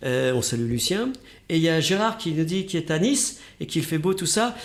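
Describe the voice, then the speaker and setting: This man's voice sits high and swings very widely in pitch. He talks at a fairly quick pace with very even loudness. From northern France, Oise. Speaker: radio host. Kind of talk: interview.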